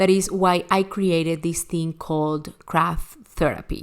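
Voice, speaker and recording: A woman's fairly low voice at a fairly slow pace, with a Spanish accent. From Venezuela. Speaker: online crafting teacher. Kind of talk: recorded online class. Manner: animated.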